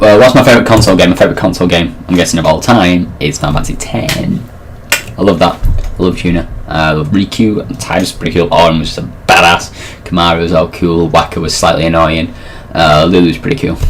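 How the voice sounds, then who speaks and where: Someone talks at a very fast pace in a Mancunian accent. Background noise is noticeable. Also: man, very deep, low pitch for a man, ordinary pitch variation. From Manchester, northern England. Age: 20s. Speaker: gaming vlogger. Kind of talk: casual vlog Q&A. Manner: casual, hesitant with many fillers.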